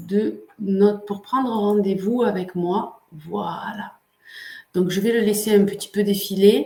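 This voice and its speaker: A woman at a very slow pace, medium in pitch, with ordinary pitch variation. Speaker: coach and online workshop host. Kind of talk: live webinar hosting. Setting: livestream. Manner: hesitant, many filler sounds.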